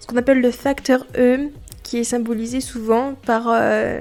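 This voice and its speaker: A woman with a fairly high-pitched voice speaks at a fairly slow pace in a flat, monotone way. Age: 20s. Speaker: podcaster. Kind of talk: personal testimony podcast. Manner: hesitant with many fillers.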